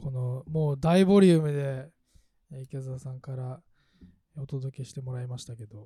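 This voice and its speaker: A man at a medium pitch with a dark, mellow tone, somewhat breathy, with ordinary pitch variation, big swings in loudness, a moderate pace and long, frequent pauses. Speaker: podcast host. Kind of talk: casual chat. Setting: remote recording.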